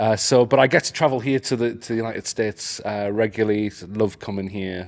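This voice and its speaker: Hardly pausing, a man with a Geordie accent talks at a fairly quick pace. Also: big swings in loudness. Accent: northern English (Geordie), clearly audible. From northeast England, Newcastle. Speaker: AI educator. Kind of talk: casual interview. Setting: at a conference.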